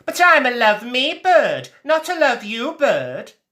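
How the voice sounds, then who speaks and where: In a put-on character voice, the speaker uses a raised, projected voice with a high pitch at a fairly slow pace. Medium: read story. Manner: sing-song, chirpy.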